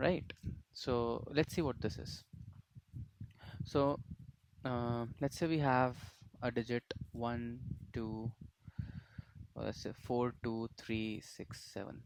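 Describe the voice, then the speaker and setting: The speech moves at a very slow pace, broken by long, frequent pauses. Pitch varies in an ordinary way. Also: man, medium pitch for a man. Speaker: programming tutor. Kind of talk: tutorial. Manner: hesitant with frequent fillers.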